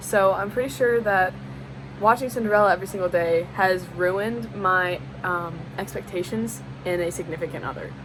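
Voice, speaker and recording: With an American accent, a woman speaks at a moderate pace in a fairly low pitch with lively intonation. Noticeable background noise runs underneath. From US South. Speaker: college student. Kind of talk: class assignment video monologue. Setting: at a desk on camera. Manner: casual, frequent fillers.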